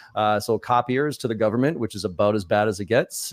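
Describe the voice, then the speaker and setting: A man with an American accent at a very fast pace, fairly low in pitch with ordinary pitch variation, in a dry, close sound with no echo and a quiet background. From US Northeast (Boston). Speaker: sales trainer. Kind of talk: interview conversation.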